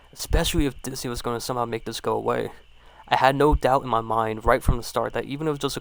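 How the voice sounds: Ordinary pitch movement in a natural reading voice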